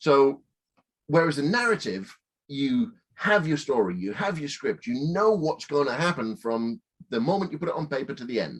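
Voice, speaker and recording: A man's fairly high voice with a Northern English accent, at a moderate pace, with very wide pitch swings. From Northern England. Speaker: film director, producer and writer. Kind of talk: interview answer.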